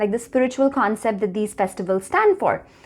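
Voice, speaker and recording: A woman with an Indian accent speaks with very wide pitch swings. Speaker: wellness vlogger. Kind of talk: talking-head vlog.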